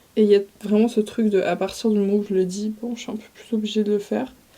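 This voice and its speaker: A woman talks at a fairly quick pace in a monotone, flat intonation with a fairly high pitch. There is noticeable background noise. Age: 20s. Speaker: vlogger. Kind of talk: casual chat.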